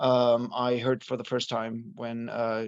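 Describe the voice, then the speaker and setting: This man speaks with a German accent and a medium pitch. His pace is fairly slow. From Germany. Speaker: rock vocalist. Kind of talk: interview. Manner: halting, many fillers.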